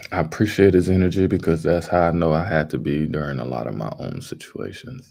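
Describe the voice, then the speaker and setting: Talking at a moderate pace with an American accent, a man has a very deep, low pitch, a dark, mellow tone, ordinary pitch variation and vocal fry. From Southern California. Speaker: livestream host. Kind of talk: casual live stream commentary. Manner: animated.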